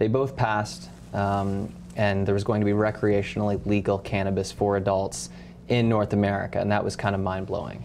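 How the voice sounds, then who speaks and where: A man with an unremarkable speaking voice talks at a fairly quick pace and a fairly low pitch. His intonation is lively and his loudness very even. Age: 30s. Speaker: cannabis company executive. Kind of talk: interview.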